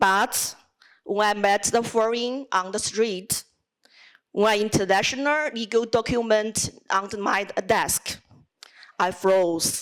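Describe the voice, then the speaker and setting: Speaking in a Chinese accent, a woman uses a fairly high pitch at a very slow pace. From China. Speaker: student speech contestant, lawyer. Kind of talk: speech competition address.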